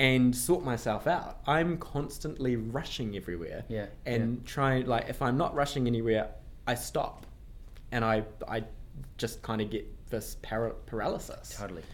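With a New Zealand accent, a man talks at a moderate pace and medium pitch with ordinary pitch variation, and audible room echo surrounds him. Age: 20s. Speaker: management consultant. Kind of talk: casual interview chat. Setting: office room, in person.

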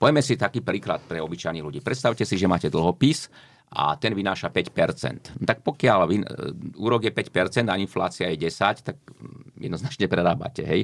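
A man's voice at a moderate pace, with very wide swings in pitch. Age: 60s. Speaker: economist. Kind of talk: interview.

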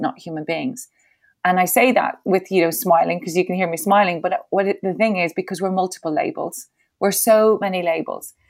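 A woman with an Irish accent talks at a fairly quick pace, her medium pitch showing ordinary variation. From Ireland. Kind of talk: interview.

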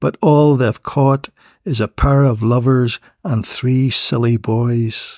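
In a Northern Irish accent, a man speaks at a very slow pace and medium pitch. The sound is dry and close with no echo, and his intonation stays fairly even. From Northern Ireland. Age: 70s. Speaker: poet. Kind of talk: casual interview about poetry. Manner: halting, hesitant with repeated words.

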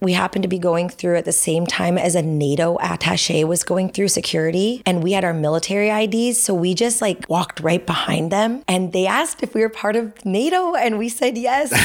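A woman with a Californian accent talks at a fairly quick pace with hardly any pauses. Her medium pitch shows ordinary variation. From US West Coast (Los Angeles, San Fernando Valley). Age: 30s. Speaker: pickleball coach and army veteran. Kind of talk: casual chat.

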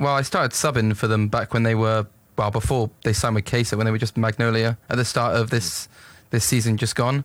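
The recording is very clean with a silent background. A man at medium pitch speaks at a fairly quick pace with very even loudness. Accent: southern English. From England. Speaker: esports coach and team manager. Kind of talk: interview.

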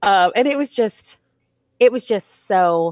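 In an American accent, a woman with an unremarkable speaking voice talks at a medium pitch with lively intonation. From Texas, Dallas area. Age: 30s. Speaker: high school theater teacher. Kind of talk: casual chat. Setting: video call.

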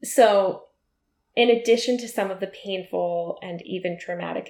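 A woman talks at a moderate pace. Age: 30s. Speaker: podcast host. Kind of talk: casual chat.

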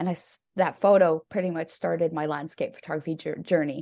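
A woman with a Canadian accent speaks very fast in a fairly low voice. Her pitch varies in an ordinary way over a quiet background. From Canada. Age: 30s. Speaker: landscape photographer. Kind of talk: casual chat.

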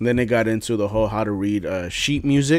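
Using a plain, everyday voice, a man talks at a fairly quick pace with ordinary pitch variation. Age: 20s. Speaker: podcast co-host. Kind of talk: casual chat.

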